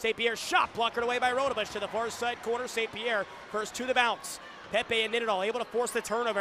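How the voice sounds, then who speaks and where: Over noticeable background noise, a man with an American accent uses a raised, projected voice at a high pitch and a fairly quick pace. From Virginia, USA. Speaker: hockey play-by-play broadcaster. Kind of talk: live sports play-by-play. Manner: fast, energetic.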